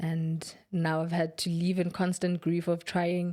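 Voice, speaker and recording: A woman speaks in a fairly low pitch. Her tone is dark and mellow. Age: 20s. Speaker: vlogger. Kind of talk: casual personal talk to camera. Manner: reflective, halting.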